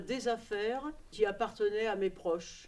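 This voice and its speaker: With ordinary pitch variation, this woman speaks at a fairly slow pace. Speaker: documentary workshop participant. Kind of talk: personal testimony to camera. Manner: hesitant, many fillers.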